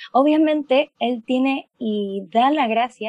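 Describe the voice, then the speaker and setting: Dry, close sound with no echo, a woman's dark, mellow tone at fairly high pitch and ordinary pitch variation. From Panama. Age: 20s. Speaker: medical student. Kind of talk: testimony.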